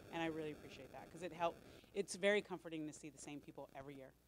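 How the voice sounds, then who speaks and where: A woman with an American accent and a fairly low voice, very fast, with ordinary pitch variation. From Los Angeles. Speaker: volunteer coordinator. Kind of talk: staff meeting talk. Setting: meeting room with audience, microphone. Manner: loud; animated.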